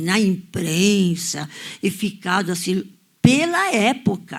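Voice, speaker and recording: A woman speaks in a somewhat breathy voice. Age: 80s+. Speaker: audience member. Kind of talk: audience discussion, personal recollection.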